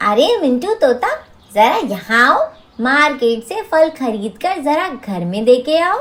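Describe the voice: A man performs a cartoonish character voice at an extremely high pitch, with a fairly bright tone. His pitch swings widely as he speaks at a slow pace.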